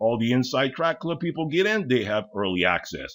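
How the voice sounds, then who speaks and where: His voice carries vocal fry, and his pitch swings very widely. The man keeps a moderate pace. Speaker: tool deals YouTuber. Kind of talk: product walkthrough. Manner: casual.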